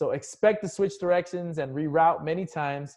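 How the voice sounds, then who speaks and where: A man's pitch rises and falls normally, and the background is quiet. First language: not English. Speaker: business coach. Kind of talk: online course lecture.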